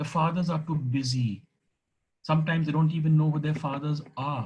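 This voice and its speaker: A man's somewhat breathy delivery moves fairly quickly, his intonation fairly even. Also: fairly high pitch for a man. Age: 60s. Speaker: retired teacher and former deputy headmaster. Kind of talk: speech.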